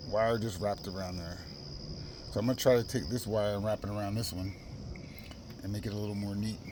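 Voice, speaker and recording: Fairly quick speech from a man with fairly even intonation, audible room echo and noticeable background noise. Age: 50s. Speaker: car owner reviewing a product. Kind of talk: casual product review video. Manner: fast.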